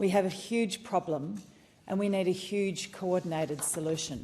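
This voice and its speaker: Using an Australian accent, a woman speaks at a moderate pace with a fairly low pitch and ordinary pitch variation. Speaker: politician. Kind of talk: parliamentary speech. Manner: formal.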